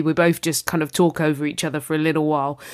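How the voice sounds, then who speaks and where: Someone with a London accent speaks at a very fast pace on a very clean recording with a silent background. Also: woman. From southeast London. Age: 30s. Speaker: podcast host. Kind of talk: podcast intro and casual chat. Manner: animated.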